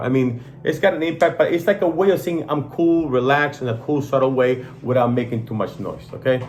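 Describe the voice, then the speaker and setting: A man with a non-native accent, medium-pitched, animated, at a fairly quick pace with ordinary pitch variation. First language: not English. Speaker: watch channel host. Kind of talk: casual product review chat.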